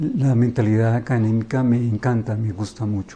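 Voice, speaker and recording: At a moderate pace, a man speaks in a somewhat breathy voice of medium pitch with a dark, mellow tone. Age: 60s. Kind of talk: interview.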